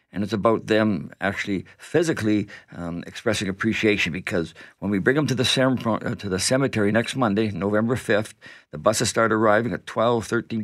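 A man with a normal speaking voice and a Canadian accent talks at a fairly low pitch and a fairly quick pace, with ordinary pitch variation. The recording is very clean, the background silent. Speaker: event organizer and veteran's son. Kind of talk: radio interview. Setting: radio studio.

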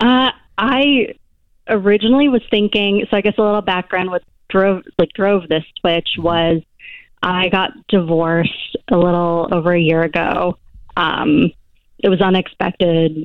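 At a fairly slow pace, a woman with an unremarkable speaking voice and an American accent talks at a medium pitch, with ordinary pitch variation and very even loudness. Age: 30s. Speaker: caller. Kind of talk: casual chat. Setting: phone call.

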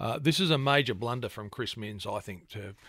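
A man with an Australian accent and a bright, sharp tone, at a fairly quick pace in a very clean recording with a silent background. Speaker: radio host. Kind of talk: newspaper review on talk radio. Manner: frequent filler hesitations.

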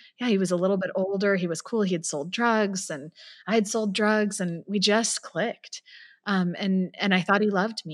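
Against a quiet background, a woman with a West Coast accent talks at a moderate pace, with medium pitch and fairly even intonation. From San Francisco Bay Area. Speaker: nonprofit founder and abuse survivor. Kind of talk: personal testimony in interview.

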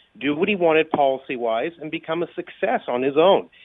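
A plain, everyday voice, fairly quick in pace, with lively intonation. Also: man. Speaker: political commentator. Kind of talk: news commentary.

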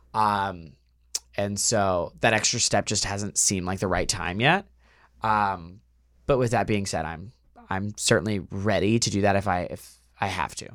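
A man with an American accent and a normal speaking voice talks at a moderate pace, his fairly low pitch carried on fairly even intonation. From rural Texas. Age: 20s. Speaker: dating show contestant. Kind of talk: casual chat. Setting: studio.

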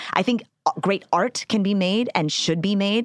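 A plain, everyday voice from a woman, medium-pitched and lively in intonation, moving at a moderate pace. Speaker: comedian. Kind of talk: casual chat. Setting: studio.

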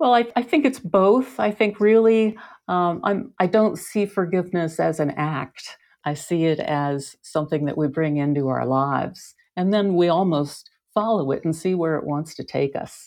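A woman's ordinary speaking voice, fairly low in pitch, with lively intonation at a moderate pace against a quiet background. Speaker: author. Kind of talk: casual chat.

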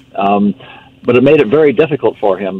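A man's medium-pitched voice shows ordinary pitch variation, with noticeable background noise present. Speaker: supplement company representative. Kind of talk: casual chat.

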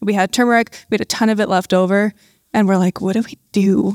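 A woman with a Canadian accent speaks in an ordinary speaking voice at medium pitch, recorded very cleanly with a silent background and a dry, close sound with no echo. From Canada. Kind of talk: live panel interview. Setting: stage with audience.

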